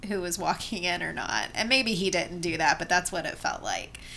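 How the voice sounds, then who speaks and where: Music plays behind a woman speaking at a fairly quick pace in an American accent. Her pitch is medium and her intonation fairly even. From Asheville, North Carolina. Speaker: podcast co-host and teacher. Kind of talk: casual chat.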